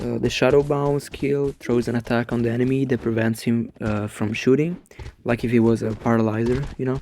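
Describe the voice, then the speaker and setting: Speaking with an Italian accent, the man keeps his intonation fairly even. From Italy. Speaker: gaming YouTuber. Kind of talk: commentary on game. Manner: halting, many fillers.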